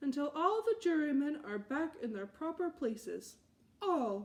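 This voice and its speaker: Using a put-on character voice, a woman projects loudly at a moderate pace, her high pitch swinging very widely. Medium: read story. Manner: grave, self-important.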